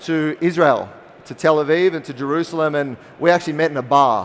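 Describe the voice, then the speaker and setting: The speaker talks at a fairly quick pace with an Australian accent. The intonation stays fairly even. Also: man. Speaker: spirits company founder. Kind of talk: conference talk.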